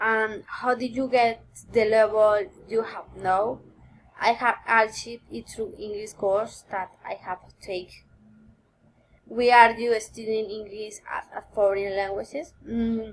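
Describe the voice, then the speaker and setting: A woman with a Spanish accent and a fairly high pitch talks at a fairly slow pace with fairly even intonation and big swings in loudness. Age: 20s. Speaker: university student. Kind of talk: recorded course assignment answering questions. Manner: halting, with many fillers.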